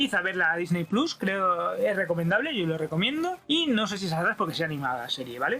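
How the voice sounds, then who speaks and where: A man speaks in a high voice with lively intonation. Background noise is noticeable. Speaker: YouTube pop culture reviewer. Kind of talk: solo video review. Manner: fast; rushed, swallows words.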